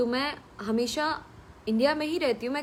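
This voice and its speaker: A woman with a Bihari accent speaks at a moderate pace with ordinary pitch variation. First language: Bhojpuri (speaking Hindi). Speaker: film actress. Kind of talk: live stream reading viewer comments. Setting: at home, live stream.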